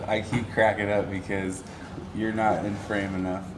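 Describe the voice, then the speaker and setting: Mumbling quietly at a moderate pace, a man with a fairly low pitch is heard amid noticeable background noise and audible room echo. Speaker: podcast host. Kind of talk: casual chat. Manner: quiet, mumbles in conversation.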